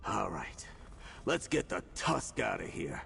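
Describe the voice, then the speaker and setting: A man puts on a character voice at a moderate pace, with clear background noise. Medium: video game. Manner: casual, calls listener pal.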